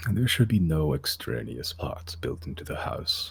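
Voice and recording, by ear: A man's put-on character voice, very deep, low in pitch and rumbling, with lively intonation at a moderate pace.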